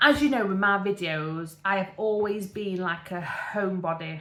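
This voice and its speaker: Speaking at a moderate pace with an East Midlands accent, a woman uses a medium pitch and ordinary pitch variation against noticeable background noise. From English Midlands, Derbyshire area. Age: 30s. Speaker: vlogger. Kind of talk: casual chat. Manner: rambling, filler-heavy.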